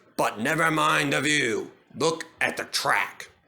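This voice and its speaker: A man speaks in a put-on character voice, raspy and fairly high-pitched. His pace is fairly slow. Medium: read story. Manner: gruff, steady, no-nonsense.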